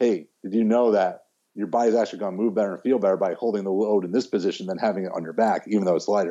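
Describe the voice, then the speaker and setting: The speaker races along at a very fast pace with fairly even intonation. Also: man. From US Midwest, Chicago. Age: 40s. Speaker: strength coach. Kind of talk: casual chat.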